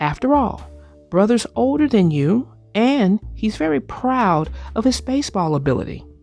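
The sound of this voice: A woman's put-on character voice, fairly high in pitch with big pitch swings, vocal fry and a slightly mellow tone, at a moderate pace over faint music in the background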